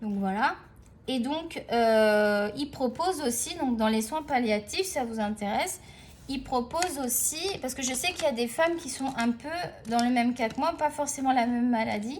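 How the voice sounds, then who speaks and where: High-pitched speech from a woman, with ordinary pitch variation. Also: moderate pace. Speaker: art tutorial youtuber. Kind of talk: casual drawing tutorial chat.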